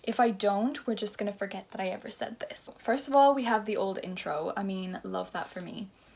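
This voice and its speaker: A woman's very fast, animated delivery with lively intonation and a fairly high pitch. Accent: Irish. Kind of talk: casual vlog chat.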